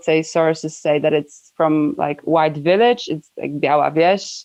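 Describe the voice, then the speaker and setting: A woman talks with a Polish accent. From Poland. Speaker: environmental NGO worker. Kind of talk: interview.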